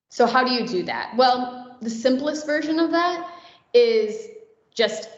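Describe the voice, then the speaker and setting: A woman speaks with lively intonation. Audible room echo is present. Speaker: conference speaker. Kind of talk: conference talk. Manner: fast.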